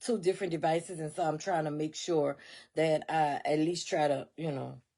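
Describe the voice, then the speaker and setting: The tone is animated. It belongs to a woman with an American accent. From US South. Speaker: motivational podcaster. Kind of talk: motivational talk. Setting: home studio. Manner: animated, repetitive.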